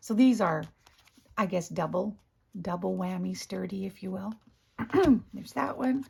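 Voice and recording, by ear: Using a raspy, put-on character voice at a medium pitch, a woman speaks at a moderate pace with long, frequent pauses.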